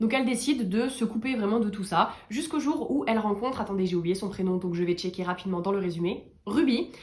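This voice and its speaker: The speaker sounds animated, with lively intonation, a fairly quick pace and hardly any pauses. Noticeable background noise runs underneath. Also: woman, medium pitch for a woman. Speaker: book reviewer youtuber. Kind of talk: casual book review vlog.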